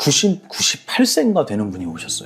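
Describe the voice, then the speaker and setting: A man talks at a moderate pace while noticeable background noise sits behind him. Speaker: Buddhist monk. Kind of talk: interview conversation.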